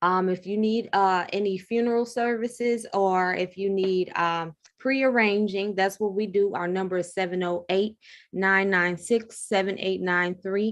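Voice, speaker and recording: An American accent from a woman of medium pitch, fairly slow and fairly even in intonation, an ordinary speaking voice. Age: 30s. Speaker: funeral home owner. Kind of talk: interview.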